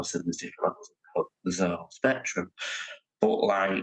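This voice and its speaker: With a Lancashire accent, a man speaks in a dry, close recording with no echo. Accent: Northern English (Lancashire). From Oldham, England. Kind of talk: interview answer. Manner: hesitant, lots of fillers.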